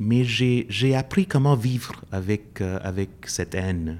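Pitch rises and falls in an ordinary way. The background is silent in this very clean recording. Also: man. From India. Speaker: professor. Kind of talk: interview. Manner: halting.

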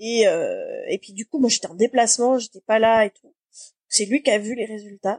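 Recorded with a dry, close sound and no echo, this is a woman speaking. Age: 40s. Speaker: production manager in live entertainment. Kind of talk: personal testimony interview. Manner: hesitant, many fillers.

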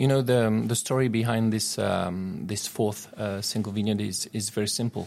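Fairly low-pitched man with a French accent, fairly even intonation and a moderate pace. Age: 40s. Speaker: winemaker. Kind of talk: interview. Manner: halting, many fillers.

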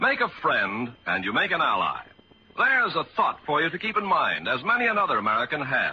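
Fairly quick male speech against noticeable background noise. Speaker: radio announcer. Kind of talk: formal announcer narration. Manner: formal, polished.

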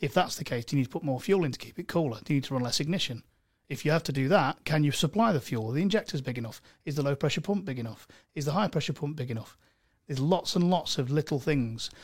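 In a very clean recording with a silent background, a man with an East Midlands accent speaks very fast in a fairly high, somewhat breathy voice with lively intonation. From Mansfield, English East Midlands. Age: 30s. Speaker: car tuning specialist. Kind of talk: casual chat. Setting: studio.

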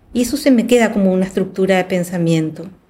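A woman's somewhat breathy voice, dark and mellow in tone, moves at a fairly quick pace with ordinary pitch variation. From Paraguay. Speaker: film director. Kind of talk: casual chat.

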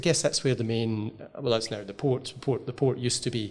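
A man with a Glasgow accent speaks in a dark, mellow tone. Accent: Scottish (Glasgow). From Scotland (Glasgow). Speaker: podcast host and professor. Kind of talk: interview. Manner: halting, many fillers.

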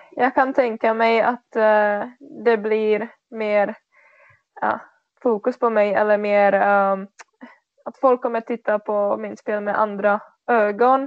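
In a Czech accent, a woman with a fairly high pitch talks at a very slow pace in a monotone, flat intonation, with long, frequent pauses. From Czech Republic. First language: Czech (speaking Swedish). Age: 20s. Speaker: floorball player. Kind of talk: interview. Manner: halting.

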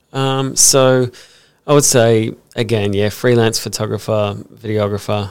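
A man with an Australian accent, fairly low pitch, fairly slow pace and fairly even intonation, in a very clean recording with a silent background. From Brisbane, Australia. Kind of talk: casual interview. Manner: hesitant, many fillers.

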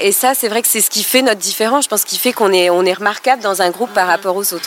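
A woman's fairly high voice, with ordinary pitch variation, comes through over noticeable background noise. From southeastern France (Côte d'Azur). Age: 30s. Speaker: former notary, expat mother. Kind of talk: casual chat. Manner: hesitant, with fillers.

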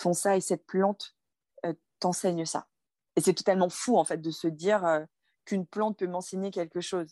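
Over a quiet background in a dry, close sound with no echo, a woman with a dark, mellow tone and a medium pitch speaks in a monotone, flat way at a moderate pace, with long, frequent pauses. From France. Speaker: film director. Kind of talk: interview conversation.

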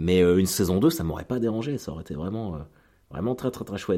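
With a dark, mellow tone and a fairly low pitch, a man talks at a fairly quick pace with very wide pitch swings on a very clean recording with a silent background. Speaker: comedian and podcaster. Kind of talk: casual monologue. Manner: hesitant, many fillers.

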